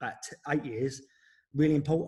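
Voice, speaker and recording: In an English accent, a man speaks with a fairly high pitch, a somewhat breathy quality and monotone, flat intonation. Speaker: former footballer. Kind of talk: interview. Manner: fast.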